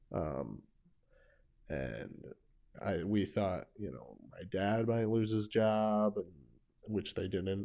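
Very slow, with long, frequent pauses, a man speaks at a fairly low pitch with a dark, mellow tone. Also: ordinary pitch variation. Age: 20s. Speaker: podcast host. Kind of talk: casual chat.

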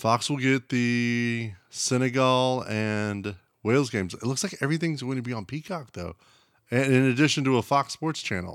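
Speaking in an American accent with a normal speaking voice, a man uses a medium pitch at a moderate pace on a very clean recording with a silent background. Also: ordinary pitch variation. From United States. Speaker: podcast co-host. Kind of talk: casual chat. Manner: laughs often.

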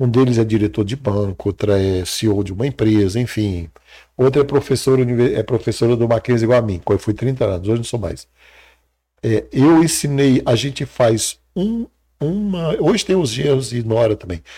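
A man speaks at a moderate pace with a somewhat breathy, dark and mellow tone. The recording is very clean, with a silent background. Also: medium pitch for a man, lively intonation. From Brazil, Ceará (sertão, Crato). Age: 60s. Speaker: psychologist and mentor. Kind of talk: interview.

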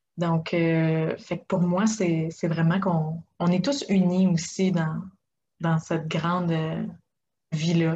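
Speaking at a very slow pace, a woman with a fairly low pitch and a dark, mellow tone sounds somewhat breathy, keeping her loudness very even and her intonation fairly even. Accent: Quebec. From Quebec. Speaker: life coach. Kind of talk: interview.

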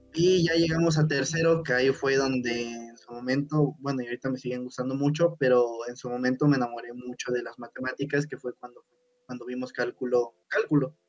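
With a normal speaking voice, a man talks at a fairly quick pace in a medium pitch, his intonation fairly even and his loudness swinging widely, all in a dry, close sound with no echo. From Mexico, Puebla. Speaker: podcast co-host, engineering student. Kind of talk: casual chat.

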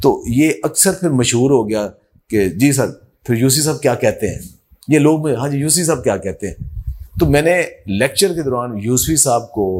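A man with a plain, everyday voice, fairly high in pitch, with lively intonation. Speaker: agriculture professor. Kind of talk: interview.

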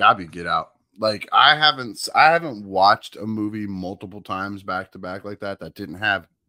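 This is a man with an unremarkable speaking voice, fairly low in pitch, at a moderate pace. The sound is dry and close, with no echo. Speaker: podcast guest co-host. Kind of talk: casual chat. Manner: profane, casual.

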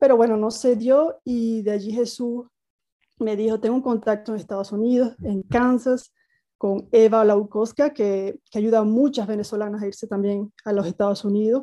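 A woman's dark, mellow tone, fairly high in pitch, at a moderate pace with fairly even intonation against a quiet background. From Venezuela, Margarita Island. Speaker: former basketball player. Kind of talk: interview. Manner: halting, repeats words.

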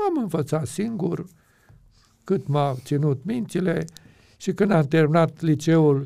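In a very clean recording with a silent background, a man speaks very slowly with lively intonation and a dark, mellow tone. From Romania, Transylvania (Aiud). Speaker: pastor and Bible teacher. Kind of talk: interview.

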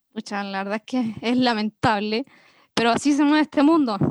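A woman with a normal speaking voice, fairly high pitch and fairly even intonation, at a fairly quick pace in a dry, close sound with no echo. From Chile, Villa Alemana, Valparaíso region. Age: 30s. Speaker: music producer. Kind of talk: interview. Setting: online call.

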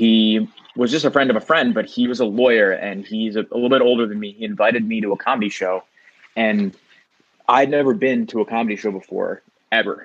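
A man with a New York accent, fairly quick in pace and fairly even in intonation. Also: medium pitch for a man. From New York, Queens. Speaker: comedian. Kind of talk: casual chat.

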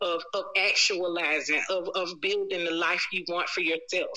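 Noticeable background noise sits behind a woman speaking at medium pitch and a moderate pace. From Memphis, Tennessee. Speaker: harm reduction leader and healer. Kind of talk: casual chat.

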